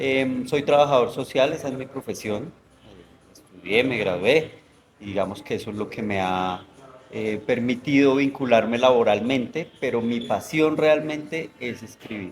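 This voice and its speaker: A man speaks at a fairly slow pace with a medium pitch, ordinary pitch variation and big swings in loudness. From Colombia, Bogotá. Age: 40s. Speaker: novelist. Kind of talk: interview conversation. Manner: hesitant, many fillers.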